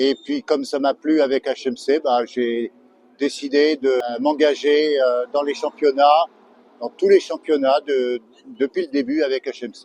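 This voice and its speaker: A plain, everyday voice from a man, fairly high in pitch, at a fairly slow pace. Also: dry, close sound with no echo. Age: 60s. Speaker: amateur racing driver. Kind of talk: interview.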